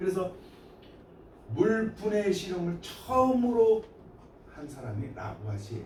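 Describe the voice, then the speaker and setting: Long, frequent pauses break up speech that moves at a fairly slow pace. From Gyeongsang province, Korea. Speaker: high school science teacher. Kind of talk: lecture. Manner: casual, conversational.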